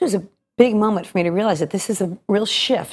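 A woman at a medium pitch, speaking at a very fast pace. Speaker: stage actress and cabaret singer. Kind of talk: interview.

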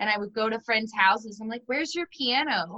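A woman with an American accent speaks at a fairly quick pace in a bright, sharp tone. Her pitch varies in an ordinary way, and the sound is dry and close with no echo. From Texas. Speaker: podcast host. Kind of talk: interview.

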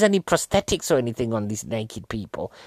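A man with an English accent and very wide pitch swings, in a dry, close sound with no echo and a very clean recording with a silent background. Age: 40s. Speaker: comedian. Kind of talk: casual film review monologue.

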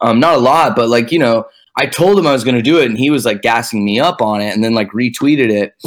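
A man with an American accent speaks in an ordinary speaking voice at a medium pitch. He keeps a fairly quick pace with ordinary pitch variation. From Texas, Dallas. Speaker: electronic music producer/DJ. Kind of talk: casual chat.

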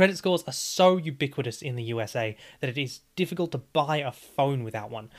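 A man with an Australian accent speaks at a fairly high pitch. His pitch varies in an ordinary way, and the recording is very clean with a silent background. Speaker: history podcast host. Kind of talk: scripted narration.

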